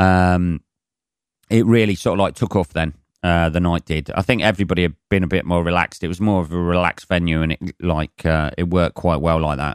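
A very deep, low male voice at a fairly quick pace with fairly even intonation, dry and close with no echo, on a very clean recording with a silent background. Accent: English. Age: 40s. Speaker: comedian. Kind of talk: casual chat. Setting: home.

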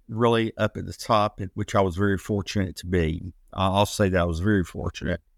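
A man with an American accent has a normal speaking voice and a fairly low pitch, talking at a moderate pace. The recording is very clean with a silent background and a dry, close sound with no echo. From US South. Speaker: former professional wrestler. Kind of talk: interview.

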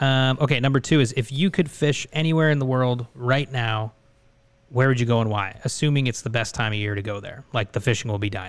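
With an unremarkable speaking voice, a man talks at a fairly quick pace with ordinary pitch variation. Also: medium pitch for a man. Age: 20s. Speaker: podcast host. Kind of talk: casual chat.

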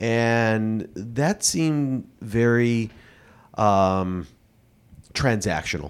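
A man with an American accent speaks at a medium pitch with ordinary pitch variation, at a very slow pace with long, frequent pauses. The recording is very clean, with a silent background. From Chicago. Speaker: podcast co-host, staffing firm owner. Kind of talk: casual chat. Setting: studio at a private club.

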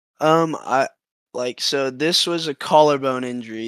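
A man with an American accent speaks in a normal speaking voice at a moderate pace, with ordinary pitch variation. The recording is very clean, with a silent background. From Texas, Austin. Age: 20s. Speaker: semipro paintball player. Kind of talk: casual interview chat.

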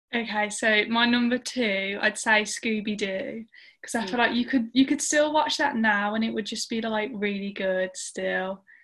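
A woman with a fairly high voice and a British accent speaks at a moderate pace, keeping her intonation fairly even and hardly pausing. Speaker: church youth member. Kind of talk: casual chat.

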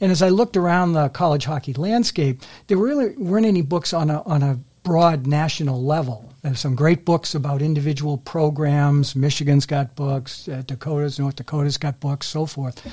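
Speaking with an American accent, a man talks at a moderate pace with hardly any pauses and ordinary pitch variation. His fairly high pitch carries a dark, mellow, somewhat breathy tone on a very clean recording with a silent background. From Massachusetts, Melrose. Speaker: author, retired banker. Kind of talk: interview.

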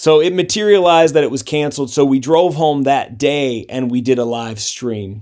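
A normal speaking voice at a moderate pace, with hardly any pauses. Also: man, fairly high pitch for a man, ordinary pitch variation. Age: 30s. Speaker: punk band singer and guitarist. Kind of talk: casual interview.

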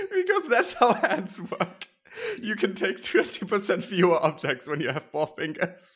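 With an animated tone and lively intonation, a man speaks at a high pitch and a moderate pace. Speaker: podcast host. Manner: animated, bantering.

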